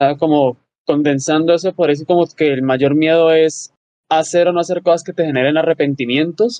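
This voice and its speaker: Dry audio with no echo, a moderate pace, fairly even intonation and a quiet background. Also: man, fairly high pitch for a man. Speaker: podcast co-host. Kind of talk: interview. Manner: halting. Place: home room.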